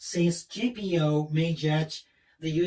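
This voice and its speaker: Very slowly, a man speaks in a high pitch with a Japanese accent. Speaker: patent attorney. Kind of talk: seminar talk. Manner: halting.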